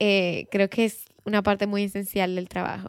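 A normal speaking voice moves at a moderate pace. The sound is dry and close, with no echo. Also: woman. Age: 20s. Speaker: podcast host. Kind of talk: solo podcast monologue. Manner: casual, conversational.

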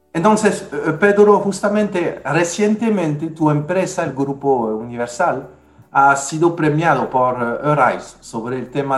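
Over noticeable background noise and audible room echo, a man with a fairly high pitch speaks at a fairly slow pace with lively intonation. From France. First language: French (speaking Spanish). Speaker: podcast host and resilience consultant. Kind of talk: casual panel discussion.

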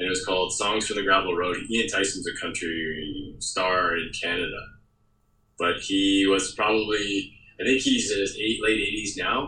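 A man speaks at a moderate pace with a fairly low pitch and ordinary pitch variation. His tone is bright and sharp, and the room echo is audible. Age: 40s. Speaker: documentary director. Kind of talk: interview.

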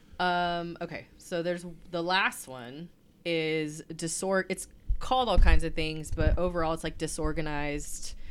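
A woman talks at a fairly slow pace in a fairly low pitch, with a normal speaking voice. Her pitch varies in an ordinary way. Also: big swings in loudness. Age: 30s. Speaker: podcast co-host, early childhood specialist. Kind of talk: casual chat.

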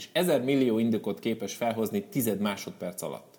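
A man with lively intonation. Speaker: motivational speaker. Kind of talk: live talk to audience. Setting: stage with audience. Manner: spontaneous, unscripted.

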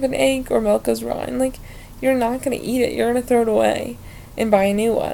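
Through noticeable background noise, a woman with an American accent speaks at a moderate pace. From Ohio. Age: young. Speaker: podcast host. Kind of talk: casual solo monologue. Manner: rambling with fillers; animated.

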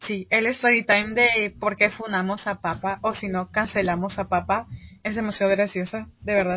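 A woman of medium pitch speaks at a moderate pace in a flat, monotone manner. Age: 20s. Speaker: podcast co-host, law student. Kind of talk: casual chat.

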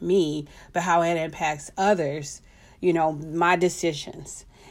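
A woman's fairly low voice at a fairly slow pace. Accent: American. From Texas. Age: 40s. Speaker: podcast host. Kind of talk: solo monologue. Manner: halting, many fillers.

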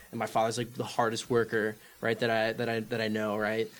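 A man at medium pitch talks at a very fast pace amid noticeable background noise. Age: 20s. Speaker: military academy cadet. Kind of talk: casual chat. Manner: animated.

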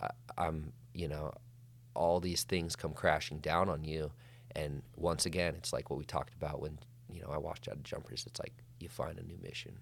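Very deep and low in pitch, a man talks at a fairly quick pace with vocal fry. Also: ordinary pitch variation. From Montana (Flathead Valley). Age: 30s. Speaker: wildland firefighter and author. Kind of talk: casual interview chat.

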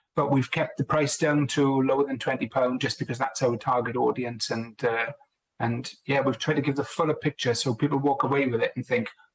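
A man's somewhat breathy, medium-pitched voice in a Welsh accent, at a moderate pace. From Wales. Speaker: business analysis director and co-author. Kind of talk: casual interview chat.

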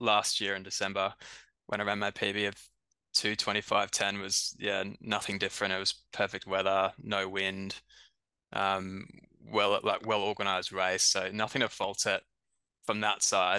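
A man speaks at fairly low pitch with a bright, sharp tone. His intonation is monotone and flat, and the background is quiet. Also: moderate pace. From Brisbane, Australia. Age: 30s. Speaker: runner. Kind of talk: casual chat.

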